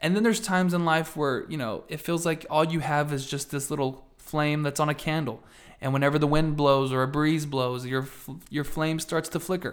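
With an animated tone, a man speaks at a fairly high pitch and a moderate pace. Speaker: podcast host. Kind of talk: casual chat. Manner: animated, excitable.

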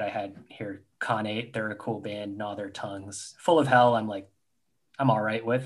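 Here is a man with a Canadian accent and a plain, everyday voice. He talks at a moderate pace, with medium pitch and fairly even intonation. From Canada, Toronto suburbs. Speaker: podcast co-host. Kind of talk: casual chat.

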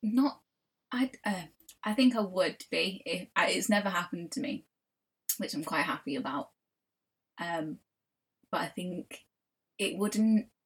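Somewhat breathy and in a Mancunian accent, a woman speaks at a fairly slow pace with lively intonation and long, frequent pauses. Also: medium pitch for a woman. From Manchester, northern England. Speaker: artist and podcast co-host. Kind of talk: casual chat. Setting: at home in own room.

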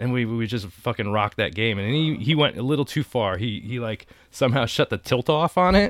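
A man with an unremarkable speaking voice talks at a medium pitch and a fairly quick pace, with lively intonation and hardly any pauses. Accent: American. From Connecticut, US (Danbury). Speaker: artist and skateboarder. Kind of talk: casual chat. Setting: in a camper.

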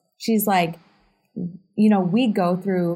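Fairly slow and somewhat breathy, a woman's medium-pitched voice carries a dark, mellow tone with monotone, flat intonation. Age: 30s. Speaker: realtor and podcast co-host. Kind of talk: casual chat.

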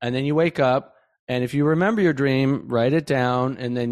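Against a quiet background, a man with a medium pitch speaks in an unremarkable speaking voice. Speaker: podcast host. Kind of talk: interview conversation.

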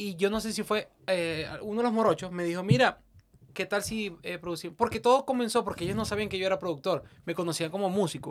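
The delivery moves at a very fast pace. Its pitch varies in an ordinary way. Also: man, high pitch for a man. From Venezuela, interior (outside Caracas). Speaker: music producer. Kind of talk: casual interview. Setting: studio.

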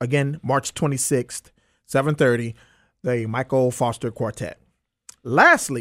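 In a Southern US accent, the speaker goes at a moderate pace on a very clean recording with a silent background. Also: man. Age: 40s. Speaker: radio podcast host. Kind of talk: announcements; interview.

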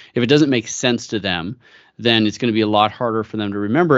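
With a General American accent, a man speaks at medium pitch in an ordinary speaking voice, showing ordinary pitch variation. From US West Coast, San Francisco Bay Area. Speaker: company founder. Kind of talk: interview.

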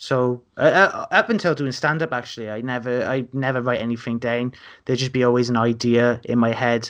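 A man talks at a fairly quick pace. He has a strong South Wales accent. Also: medium pitch for a man. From Wales, Newport. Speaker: comedian. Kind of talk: casual chat. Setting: video call.

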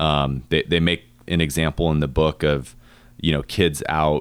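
A man speaks in a very deep, low pitch in a very clean recording with a silent background. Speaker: podcast host. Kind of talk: casual interview chat.

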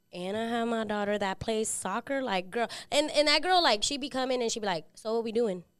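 On a very clean recording with a silent background, a fairly high-pitched woman talks at a fairly quick pace with lively intonation and hardly any pauses. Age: 20s. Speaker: nail technician. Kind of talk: casual chat.

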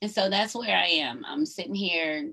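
Speaking in a Southern US accent, a woman at medium pitch makes very wide pitch swings. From US South, North Georgia. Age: 50s. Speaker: podcast host. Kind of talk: solo livestream monologue. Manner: animated.

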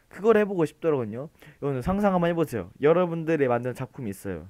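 A man's fairly high pitch in a playful tone, with very wide pitch swings. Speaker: podcast host. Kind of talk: casual solo podcast monologue.

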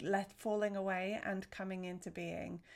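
The voice belongs to a woman with a medium pitch. She speaks in a monotone, flat way. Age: 40s. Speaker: wellness podcaster and essential oils seller. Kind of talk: casual solo monologue.

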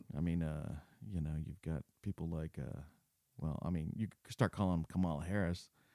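A man with an American accent talks at a fairly quick pace, his pitch very deep and low with ordinary variation. His tone is dark and mellow, and the sound is dry and close with no echo. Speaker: filmmaker. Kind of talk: casual chat.

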